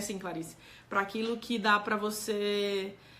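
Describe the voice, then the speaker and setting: A woman speaks with a bright, sharp tone. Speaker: doctor giving health talk. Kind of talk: live stream talk answering chat.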